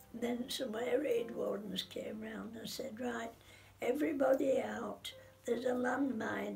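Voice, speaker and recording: Faint music plays behind a woman with a Sheffield accent. She talks at a fairly slow pace. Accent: Yorkshire (Sheffield). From England. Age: 80s+. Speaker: war survivor. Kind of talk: interview answer. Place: home room.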